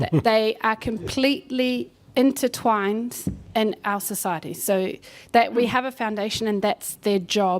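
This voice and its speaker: This woman has an unremarkable speaking voice, pitched fairly high. She talks at a fairly slow pace with ordinary pitch variation. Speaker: medical society education representative. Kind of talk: panel discussion.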